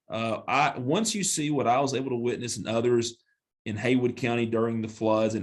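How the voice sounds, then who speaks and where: With a Southern accent, a man talks at a fairly quick pace, his medium-pitched voice keeping fairly even intonation. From western North Carolina. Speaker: mayor and attorney. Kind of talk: podcast interview.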